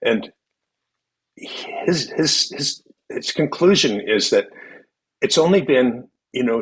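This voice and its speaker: A man at a very slow pace. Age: 70s. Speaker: podcast guest, philanthropist. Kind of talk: casual interview conversation. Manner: halting, many fillers and repetitions.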